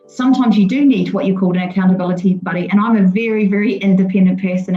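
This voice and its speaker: Music plays in the background behind a woman. She speaks very fast at medium pitch. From England, West Sussex. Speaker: mortgage and insurance adviser. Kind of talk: podcast interview.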